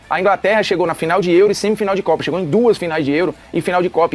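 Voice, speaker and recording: Music plays in the background as a man talks in an animated tone at a very fast pace and a high pitch. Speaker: football commentator reacting to a TV show. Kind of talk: casual react commentary.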